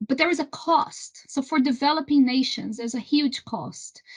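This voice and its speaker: A woman with a Brazilian accent and ordinary pitch variation. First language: Portuguese. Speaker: renewable energy trade association executive. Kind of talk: interview. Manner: halting, many repetitions.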